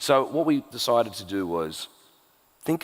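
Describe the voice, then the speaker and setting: With an Australian accent, a man is talking. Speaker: tech executive. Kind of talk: onstage interview. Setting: stage with audience.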